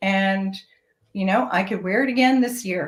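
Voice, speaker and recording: A woman speaks in a somewhat breathy voice. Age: 60s. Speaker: fashion entrepreneur. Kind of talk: interview. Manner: hesitant, many fillers.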